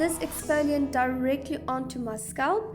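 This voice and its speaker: Music plays in the background while a woman talks at a moderate pace. Her voice is high-pitched, with lively intonation. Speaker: hair care vlogger. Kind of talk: casual talk to camera.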